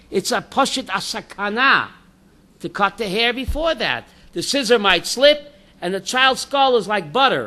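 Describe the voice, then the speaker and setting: Projecting a raised voice, a man speaks fairly slowly in a bright, sharp tone with lively intonation. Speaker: rabbi teaching a class. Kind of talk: Torah class with audience questions. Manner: loud; animated.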